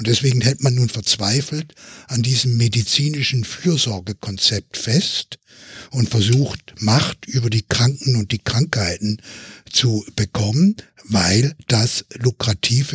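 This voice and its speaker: Speaking very slowly, a man with a medium pitch sounds somewhat breathy, his pitch varying in an ordinary way over a dry, close sound with no echo. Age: 70s. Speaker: physician and health policy expert. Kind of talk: podcast panel discussion. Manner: formal.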